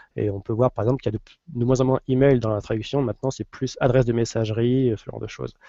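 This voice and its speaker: A man talks at a very fast pace with hardly any pauses. His intonation is monotone and flat. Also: medium pitch for a man. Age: 30s. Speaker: WordPress lead translator. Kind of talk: casual chat. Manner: halting.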